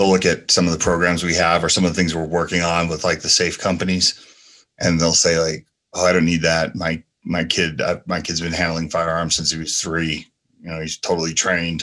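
Flat and monotone, a man with an American accent speaks at a very deep, low pitch with a bright, sharp tone against a quiet background. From New Jersey and San Francisco. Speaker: firearm industry professional, nonprofit founder. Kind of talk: casual interview.

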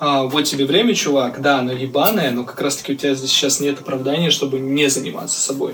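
Over noticeable background noise, a man talks at a very fast pace with hardly any pauses, his fairly high pitch showing ordinary variation. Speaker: hip-hop artist and music producer. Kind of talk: casual chat. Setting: video call.

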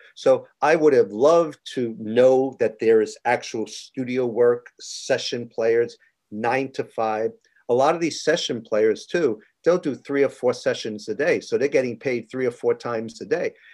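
A man speaks at a moderate pace with a medium pitch and ordinary pitch variation, in a plain, everyday voice. He has an American accent, and the background is quiet. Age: 60s. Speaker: TV stage manager and musician. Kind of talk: interview.

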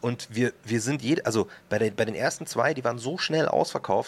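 Very fast delivery with ordinary pitch variation. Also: man. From Upper Bavaria, Germany (Markt Schwaben near Munich). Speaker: rapper and author. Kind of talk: casual interview chat.

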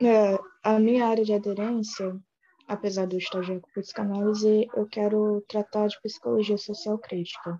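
Fairly slow and at medium pitch, a woman's speech keeps a fairly even intonation. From Baixada Fluminense, Rio de Janeiro, Brazil. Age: 20s. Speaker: university student. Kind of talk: class discussion. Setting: video call.

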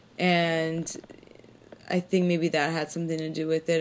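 This woman's fairly low voice stays monotone and flat as she speaks at a moderate pace. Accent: Californian. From Los Angeles, raised from age six. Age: 30s. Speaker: comedian. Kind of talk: casual chat.

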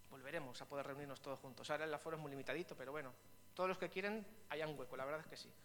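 A man's fairly high voice at a very fast pace with ordinary pitch variation, noticeable background noise. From Spain, Vitoria (Basque Country). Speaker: pastor. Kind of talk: sermon.

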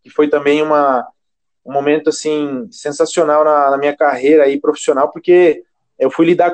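The man keeps a moderate pace, his voice captured with a dry, close sound and no echo. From Brazil, Sorocaba (São Paulo state). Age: 20s. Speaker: gym chain regional manager, physical education professional. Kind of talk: casual interview. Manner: hesitant, many filler words.

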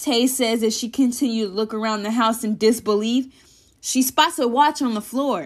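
The speaker is reading aloud in a natural voice. The text is read out rather than spoken freely.

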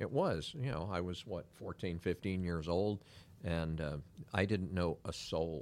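At a fairly slow pace, a man with an American accent speaks at a very deep, low pitch with ordinary pitch variation, on a very clean recording with a silent background. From Northern California (Pacifica, San Francisco Bay Area), then Miami as a teen. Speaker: insurance agent. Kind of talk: casual interview. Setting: studio.

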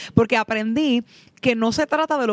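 A woman talks at a fairly quick pace in a plain, everyday voice, pitched fairly high with ordinary variation. The sound is dry and close, with no echo. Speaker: pastor. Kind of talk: casual chat.

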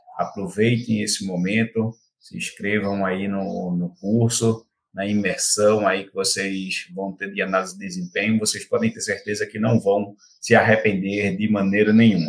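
At a moderate pace, a man with a fairly low pitch speaks in monotone, flat intonation, his loudness swinging widely. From Pernambuco, Brazil (interior). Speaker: football performance analyst. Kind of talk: podcast interview. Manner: halting, many repetitions and fillers.

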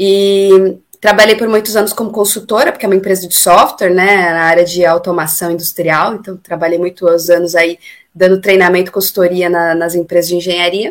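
A woman's medium-pitched voice, fairly quick and monotone, with flat intonation. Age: 30s. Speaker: singer and amateur runner. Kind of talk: casual interview. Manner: talkative.

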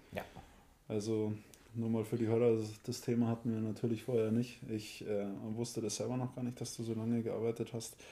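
A man with a dark, mellow tone talks at a medium pitch and a fairly quick pace. His intonation is monotone and flat. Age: 30s. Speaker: podcast co-host. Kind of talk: casual chat.

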